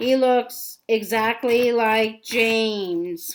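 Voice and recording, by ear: In a put-on character voice, a woman speaks at a very slow pace with a fairly high pitch.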